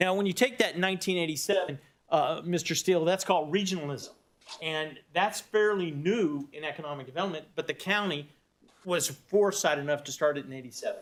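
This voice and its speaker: This man has a Texas accent and a high pitch. He talks at a fairly quick pace with ordinary pitch variation. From Texas, Austin. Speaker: economic development executive. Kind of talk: presentation. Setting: county board meeting. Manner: fast.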